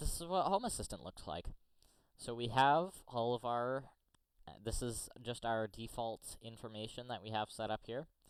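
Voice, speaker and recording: With an American accent, a man with an ordinary speaking voice talks at a moderate pace and medium pitch with lively intonation. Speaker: tech YouTuber. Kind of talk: tutorial. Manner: casual.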